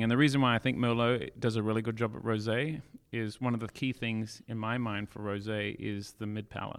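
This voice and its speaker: In an Australian accent, a man speaks at a fairly quick pace with medium pitch and monotone, flat intonation. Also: very clean recording, silent background. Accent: Australian-sounding. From South Africa, then Australia from age 15. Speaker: winemaker. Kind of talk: casual interview chat. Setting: in winery caves.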